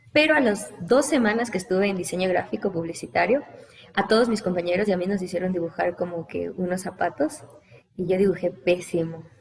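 A woman's medium-pitched voice at a fairly quick pace, lively intonation, noticeable background noise. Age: 20s. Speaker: TV news reporter. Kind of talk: casual interview.

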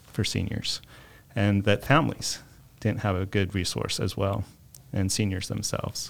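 With an American accent, a man speaks in an unremarkable speaking voice. His pitch is fairly low and his pace moderate. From Arizona, Mesa. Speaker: publisher of a senior services resource guide. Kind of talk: interview.

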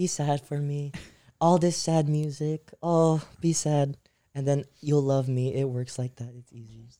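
Fairly high in pitch, a man talks at a fairly slow pace in a dark, mellow tone with big swings in loudness. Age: 18. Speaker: video producer. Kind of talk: casual chat. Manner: animated.

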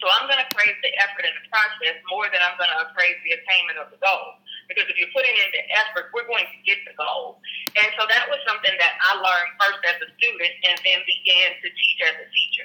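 A woman with an American accent uses a normal speaking voice at medium pitch, talking at a fairly quick pace with ordinary pitch variation and big swings in loudness. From Houston, Texas. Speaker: school administrator. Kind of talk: interview.

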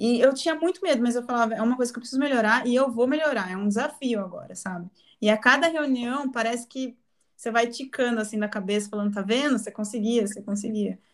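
At a very fast pace, a woman speaks with a high pitch and ordinary pitch variation. The recording is very clean, with a silent background. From interior of São Paulo state, Brazil. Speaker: marketing agency executive. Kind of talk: casual interview.

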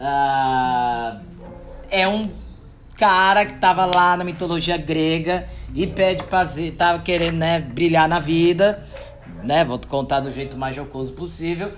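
With audible room echo, a man speaks slowly at a fairly high pitch, using ordinary pitch variation and big swings in loudness. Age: 30s. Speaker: podcast host, marketing consultant. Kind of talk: casual solo monologue. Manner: informal, joking.

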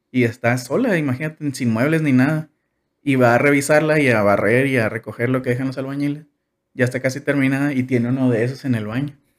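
At a very fast pace, a man speaks with medium pitch and fairly even intonation. His loudness stays very even. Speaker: engineering graduate. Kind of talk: casual chat.

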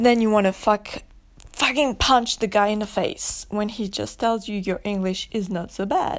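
This woman speaks with a French accent and an animated tone. Her pitch rises and falls in an ordinary way. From France. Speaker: podcaster. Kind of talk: solo rant monologue.

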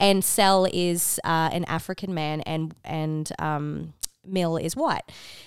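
A woman with an Australian accent talks on a very clean recording, the background silent. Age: 30s. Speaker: podcast co-host. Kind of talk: casual chat. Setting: at home across a coffee table.

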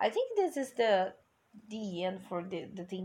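A woman speaks in a Portuguese accent at a fairly slow pace. Her pitch is medium. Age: 20s. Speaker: English teacher and music podcaster. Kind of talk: casual song review monologue.

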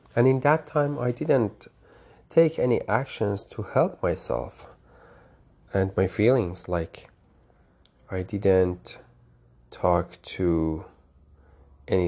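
Speaking very slowly with long, frequent pauses, a man with a Persian accent uses a fairly low pitch and lively intonation. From Iran, Tehran. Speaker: podcast host. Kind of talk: personal monologue.

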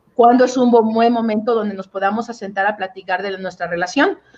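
A woman with an ordinary speaking voice talks at a fairly quick pace, her fairly high pitch showing ordinary pitch variation. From Mexico, Oaxaca. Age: 30s. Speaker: relationship coach. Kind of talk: interview.

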